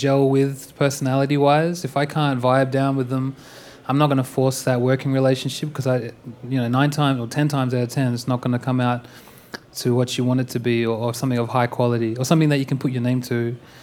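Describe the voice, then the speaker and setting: With noticeable background noise behind him, a man with an American accent talks very fast at a medium pitch in monotone, flat intonation. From Perth, Western Australia. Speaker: music producer. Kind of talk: onstage interview. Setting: stage with audience. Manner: casual.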